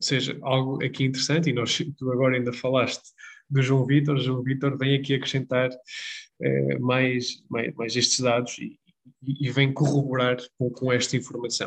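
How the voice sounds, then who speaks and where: A man speaks at a moderate pace in a medium-pitched voice with monotone, flat intonation. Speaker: football podcast co-host. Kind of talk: casual chat.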